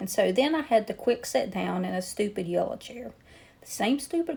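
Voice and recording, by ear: The voice is reading aloud in a natural voice, with lively intonation.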